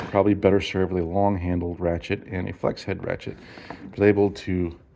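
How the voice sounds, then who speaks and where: Against noticeable background noise, a man with a very deep, low pitch speaks at a fairly quick pace in a flat monotone. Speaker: DIY car repair video maker. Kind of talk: tutorial. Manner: fast; halting.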